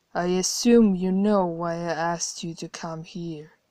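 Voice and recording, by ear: Someone performs a put-on character voice at a moderate pace in a very clean recording with a silent background. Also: woman, fairly low pitch for a woman, big swings in loudness.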